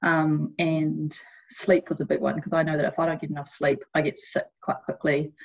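With a New Zealand accent, this voice carries vocal fry, moves at a moderate pace and keeps a fairly even intonation. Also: woman, very deep, low pitch for a woman. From New Zealand, Hamilton. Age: 20s. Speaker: Olympic athlete. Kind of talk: interview.

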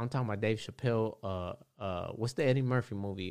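A man speaks with a plain, everyday voice at a fairly quick pace, his pitch medium and its variation ordinary. The recording is very clean, with a silent background. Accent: American. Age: 30s. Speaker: tattoo artist. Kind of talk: casual chat.

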